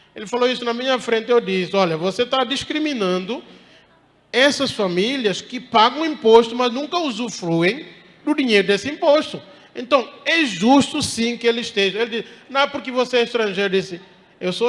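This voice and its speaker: A man's voice, extremely high in pitch, rises over noticeable background noise. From Guinea-Bissau. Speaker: professor. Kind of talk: lecture.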